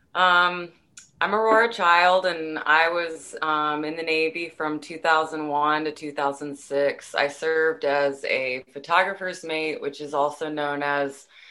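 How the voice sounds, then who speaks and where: A woman speaks at a very slow pace with a very deep, low pitch. Her tone is bright and sharp, and the background is quiet. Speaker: navy veteran, photographer.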